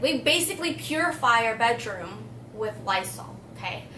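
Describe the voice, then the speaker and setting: A woman is speaking in a space with audible room echo, and noticeable background noise is present too. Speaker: beauty vlogger. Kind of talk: casual chat. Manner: casual, rambling.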